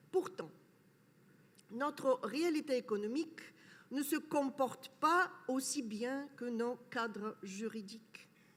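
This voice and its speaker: Speaking at a very slow pace with long, frequent pauses, a woman with a non-native accent uses a high pitch and lively intonation. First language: not French (speaking French). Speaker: academic speaker. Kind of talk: conference talk. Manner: hesitant, with fillers.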